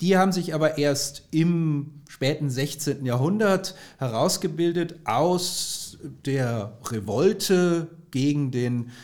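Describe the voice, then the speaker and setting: This man's voice sits fairly high in pitch and moves with lively intonation. He talks at a very slow pace. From Bavaria, southern Germany. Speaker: history lecturer. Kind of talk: expert interview.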